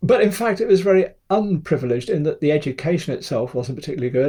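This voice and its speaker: A somewhat breathy quality runs through the voice. Its tone is dark and mellow. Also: man. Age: 70s. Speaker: photographer. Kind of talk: interview. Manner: hesitant, many fillers.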